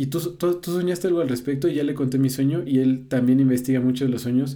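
In a dark, mellow tone, a man talks at a fairly quick pace with ordinary pitch variation and audible room echo. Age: 20s. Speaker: psychotherapy practitioner. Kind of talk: casual chat.

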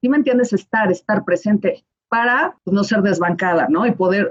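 A woman with a Mexican accent speaks at a fairly high pitch and a moderate pace, somewhat breathy, with lively intonation, very even loudness and a dry, close sound with no echo. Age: 40s. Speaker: wedding planner. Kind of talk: casual chat.

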